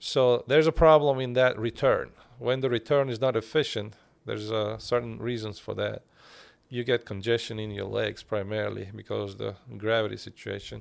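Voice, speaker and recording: A man with a Turkish accent at a moderate pace. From Bulgaria, Turkish minority. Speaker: cardiologist. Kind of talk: interview. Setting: studio.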